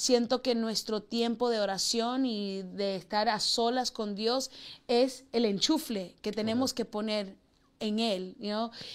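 At a fairly slow pace, a woman speaks in a normal speaking voice, fairly high in pitch with fairly even intonation. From Queens, New York. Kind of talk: interview. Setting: studio.

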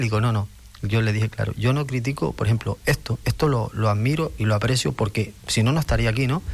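A man speaks fairly quickly with lively intonation. His voice is somewhat breathy. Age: 50s. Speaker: karate coach and sports director. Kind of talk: radio interview.

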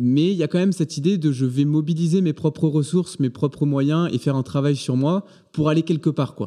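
Against a quiet background, a man with a fairly high pitch and a dark, mellow tone speaks with ordinary pitch variation. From southern France, between Aix and Marseille. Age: 20s. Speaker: engineering student and change coach. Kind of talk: interview.

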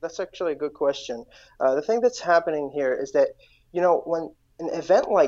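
Against a quiet background, a man with an Iraqi accent speaks at a fairly high pitch in a dark, mellow tone with ordinary pitch variation. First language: Iraqi Arabic. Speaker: guest from Iraq. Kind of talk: interview. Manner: halting.

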